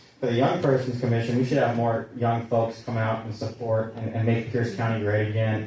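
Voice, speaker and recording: At a moderate pace, a man speaks in a medium pitch over noticeable background noise, with audible echo in the room. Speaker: public commenter. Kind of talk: public comment. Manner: halting.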